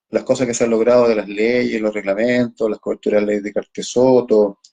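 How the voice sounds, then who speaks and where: Dry and close with no echo, the voice has a dark, mellow tone and moves at a fairly quick pace. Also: man. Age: 60s. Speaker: cancer patient advocate and live stream host. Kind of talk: conversational interview on a live stream. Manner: hesitant, many fillers.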